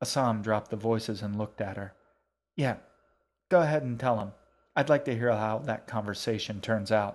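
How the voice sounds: Over a quiet background, this is a natural reading voice with ordinary pitch variation.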